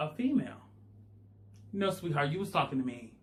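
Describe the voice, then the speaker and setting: A man talks at a fairly quick pace in an animated, somewhat breathy voice with lively intonation. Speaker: YouTuber. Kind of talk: storytime monologue.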